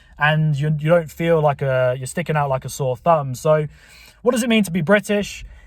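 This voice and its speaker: Male speech, moderately paced with ordinary pitch variation, on a very clean recording with a silent background. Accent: southern English. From southern England. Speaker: YouTuber. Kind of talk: casual monologue.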